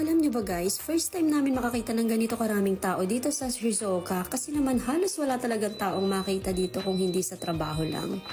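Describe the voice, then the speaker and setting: With music playing behind her, a woman talks very fast in a fairly high voice, lively in intonation and hardly pausing. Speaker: vlogger. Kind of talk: travel vlog voice-over. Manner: casual, chatty.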